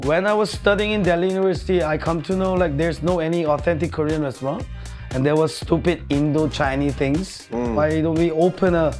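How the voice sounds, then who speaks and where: A fairly quick pace with clear music in the background. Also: man. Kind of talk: interview answer. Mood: cheerful, joking. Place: cafe.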